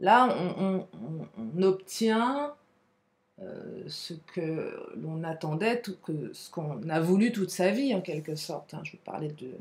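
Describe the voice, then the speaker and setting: A somewhat breathy woman at a very slow pace. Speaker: tarot card reader. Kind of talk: tarot reading. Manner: animated.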